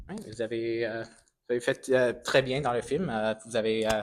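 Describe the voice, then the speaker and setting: A man is speaking. He has a non-native accent. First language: English (speaking French). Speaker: film interviewer. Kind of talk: interview. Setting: film festival. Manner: halting.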